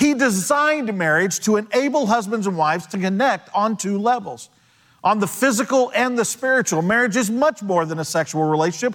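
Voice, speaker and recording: At a fairly quick pace, a man speaks with lively intonation. His pitch is high. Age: 50s. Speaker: pastor. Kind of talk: sermon. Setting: church.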